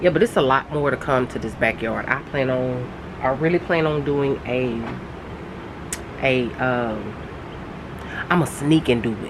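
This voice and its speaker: With noticeable background noise, a woman with a very deep, low pitch speaks at a fairly slow pace, showing ordinary pitch variation and long, frequent pauses. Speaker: gardening vlogger. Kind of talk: casual vlog talk. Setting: outdoors in backyard under gazebo. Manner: halting, many fillers.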